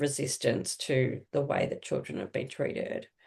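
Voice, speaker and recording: A woman speaks at a moderate pace with a very deep, low pitch and an Australian accent. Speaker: social worker. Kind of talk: interview. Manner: halting.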